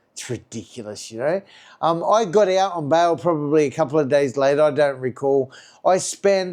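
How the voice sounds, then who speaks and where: With a strong Australian accent, a man speaks at a fairly high pitch with ordinary variation. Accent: broad Australian. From Australia, Sydney western suburbs. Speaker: recovered addict sharing his story. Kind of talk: personal storytelling monologue. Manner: fast; casual, many fillers.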